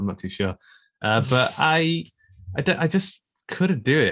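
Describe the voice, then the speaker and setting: A man with a British accent. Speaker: guest podcaster.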